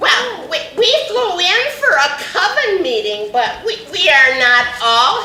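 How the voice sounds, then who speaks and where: A put-on character voice, female-sounding and high-pitched, speaks at a fairly slow pace. There is a slight echo. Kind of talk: comic overacting. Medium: stage play.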